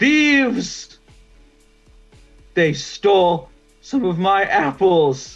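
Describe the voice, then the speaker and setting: A man's put-on character voice, high-pitched with very wide pitch swings, at a very slow pace with long, frequent pauses, over faint music in the background. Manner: angry, accusing.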